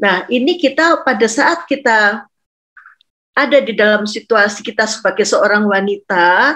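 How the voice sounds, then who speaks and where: At a fairly slow pace, a woman speaks in a fairly high pitch with lively intonation. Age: 60s. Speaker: doctor and pastor's wife. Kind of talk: online talk to women. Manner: halting with fillers.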